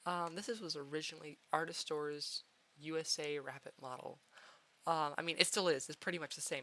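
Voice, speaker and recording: Talking at a fairly quick pace, the woman has a very deep, low pitch, a bright, sharp tone, and ordinary pitch variation. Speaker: 3D avatar creator. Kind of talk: casual talk over screen recording. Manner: rambling, hesitant.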